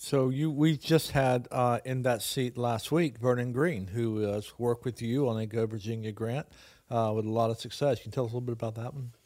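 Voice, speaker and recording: With an unremarkable speaking voice, a man speaks fairly quickly at medium pitch on a very clean recording with a silent background. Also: fairly even intonation. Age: 60s. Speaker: podcast co-host and teacher. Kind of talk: casual chat.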